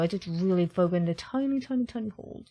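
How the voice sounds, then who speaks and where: Soft-spoken, a woman talks at medium pitch. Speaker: gaming youtuber. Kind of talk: gameplay commentary.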